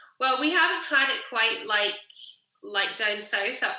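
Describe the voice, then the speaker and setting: A woman speaks at a moderate pace with ordinary pitch variation. The room echo is audible. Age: 30s. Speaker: singer-songwriter. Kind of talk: casual interview chat.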